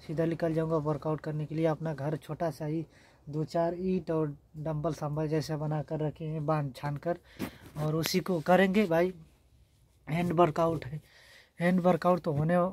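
A man with a fairly high pitch speaks at a fairly slow pace in monotone, flat intonation, with a dry sound and no echo. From rural north India. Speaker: vlogger. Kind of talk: casual vlog. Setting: at home. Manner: halting. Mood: earnest, slightly pleading. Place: home room. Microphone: phone near.

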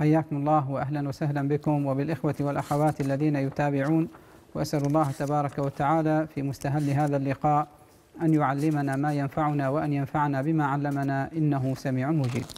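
In a dark, mellow tone, a man with a fairly high voice speaks at a moderate pace with monotone, flat intonation. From Oman. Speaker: Islamic scholar; guest. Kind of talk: religious Q&A answering. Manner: formal. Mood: calm, measured. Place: studio. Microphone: lapel.

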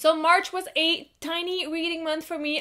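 A woman with a French Canadian accent speaks in a raised, projected voice. The background is quiet. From Quebec, Canada. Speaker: book reviewer. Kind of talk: casual talk to camera. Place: home room.

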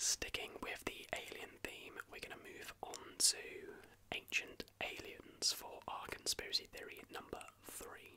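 Whispering and soft-spoken, a man talks at a fairly slow pace with big swings in loudness over noticeable background noise. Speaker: video host. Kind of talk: casual commentary on conspiracy theories. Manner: close, soft whispered talk. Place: home room.

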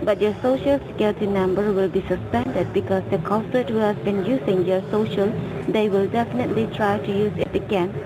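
A woman talks at a fairly quick pace with very even loudness. Noticeable background noise is present. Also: medium pitch for a woman, ordinary pitch variation. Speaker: phone scammer posing as a government agent. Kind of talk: scam phone call.

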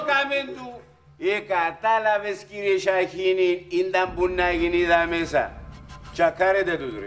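Over faint music in the background, a man speaks very slowly in a high pitch with ordinary pitch variation. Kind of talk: comic storytelling in dialogue. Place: home room.

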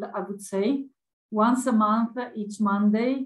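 The voice is somewhat breathy and moves at a fairly slow pace. The background is quiet. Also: woman. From Italy. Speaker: open education community manager and session moderator. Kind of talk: conference presentation. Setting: video call. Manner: animated, laughs often. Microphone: video call.

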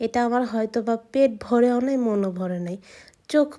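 The recording is very clean and the background silent. A woman's tone comes across dark and mellow. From Bangladesh, Munshiganj. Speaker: vlogger. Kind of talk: casual vlog narration.

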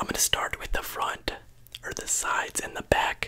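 A man whispers at a moderate pace. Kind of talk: soft role-play chat to the viewer. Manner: soft-spoken close-mic ASMR voice. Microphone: studio mic.

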